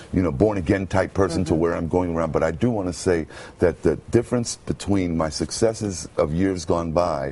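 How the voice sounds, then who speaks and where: A man with an American accent and a very deep, low pitch, at a moderate pace with ordinary pitch variation, over noticeable background noise. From Brooklyn, New York. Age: 50s. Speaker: radio announcer. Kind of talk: interview answer. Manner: hesitant, halting.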